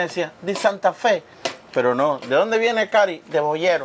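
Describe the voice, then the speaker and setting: Light background noise runs under a man's voice. He talks at a fairly slow pace with lively intonation. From Cuba, Oriente (eastern Cuba), countryside. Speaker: cooking show host. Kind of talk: casual cooking show chat. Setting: studio kitchen. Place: studio. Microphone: lapel.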